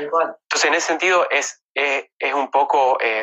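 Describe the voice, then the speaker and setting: A man speaks at a fairly high pitch. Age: 30s. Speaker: neurosurgeon. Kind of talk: casual interview. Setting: Instagram Live video call. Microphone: phone earpiece taped up.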